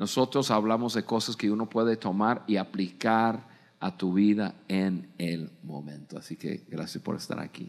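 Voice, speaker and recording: A fairly low-pitched man with an American accent at a fairly slow pace, over a quiet background. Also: ordinary pitch variation. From United States. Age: 60s. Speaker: podcast host. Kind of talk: live podcast talk. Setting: studio with live audience. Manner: halting, repeats words. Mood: warm, motivating. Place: stage. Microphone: studio mic.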